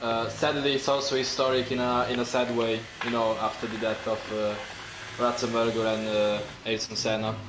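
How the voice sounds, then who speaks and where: Through audible room echo and noticeable background noise, a man with an Italian accent speaks at a medium pitch with fairly even intonation. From Italy. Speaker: sim racing co-commentator. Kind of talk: live commentary.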